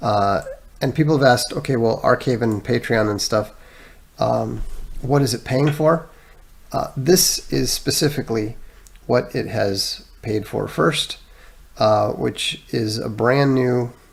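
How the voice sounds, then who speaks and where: A man at a medium pitch talks at a fairly slow pace with ordinary pitch variation, vocal fry and long, frequent pauses. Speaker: live-stream host. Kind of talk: live stream chat, answering viewer comments. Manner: many fillers and hesitations.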